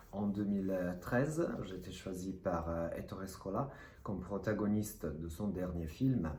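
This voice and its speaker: A somewhat breathy voice with a slight non-native accent speaks at a moderate pace, with audible echo in the room. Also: man. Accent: slight foreign accent in French. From Italy, Rome. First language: Italian (speaking French). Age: 30s. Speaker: actor. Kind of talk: self-presentation to camera. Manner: hesitant.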